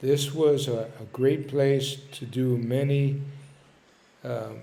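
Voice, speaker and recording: A man with an American accent speaks at a very slow pace in a fairly high pitch with monotone, flat intonation. His tone is dark, mellow and somewhat breathy, with audible room echo. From Philadelphia, North Philly. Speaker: storyteller. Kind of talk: personal reminiscence monologue. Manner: hesitant, with fillers.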